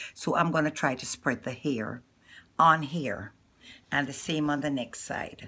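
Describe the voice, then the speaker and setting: With a Jamaican accent, a woman talks at a moderate pace in a very deep, low voice with a bright, sharp tone and ordinary pitch variation, on a very clean recording with a silent background. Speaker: hair and beauty vlogger. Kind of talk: tutorial. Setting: filmed by a camera operator. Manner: casual, chatty.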